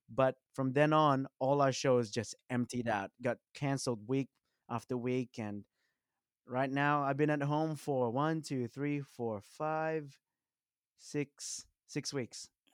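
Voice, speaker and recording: At a very slow pace, a man talks in a medium pitch with fairly even intonation, in a dry, close sound with no echo. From Western Sydney, Australia. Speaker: musician. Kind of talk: casual interview chat.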